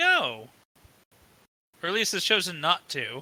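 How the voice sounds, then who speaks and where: A put-on character voice at middle pitch speaks at a fairly slow pace. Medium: actual play. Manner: curt, defiant.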